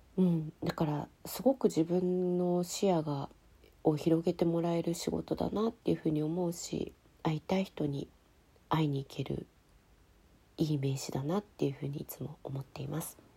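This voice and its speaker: A woman's very deep, low voice, dark and mellow in tone, somewhat breathy, at a moderate pace with ordinary pitch variation. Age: 40s. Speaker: writer and podcast host. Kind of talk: solo podcast answering listener mail.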